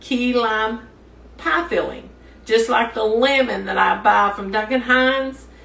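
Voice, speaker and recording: A woman speaks with fairly even intonation amid audible room echo. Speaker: home cook. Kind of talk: cooking tutorial. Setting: home kitchen. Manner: some trouble talking after stroke.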